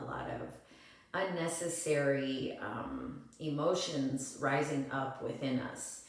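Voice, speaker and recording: Over noticeable background noise and audible room echo, a woman talks very slowly in a very deep, low voice with fairly even intonation. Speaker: yoga and breathwork teacher. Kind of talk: tutorial. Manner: halting.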